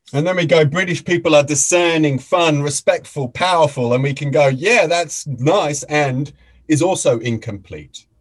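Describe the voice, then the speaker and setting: Delivered at a moderate pace, the speech is somewhat breathy and shows ordinary pitch variation. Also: man, fairly high pitch for a man. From Australia. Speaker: facilitator and mediator. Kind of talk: talk to an audience.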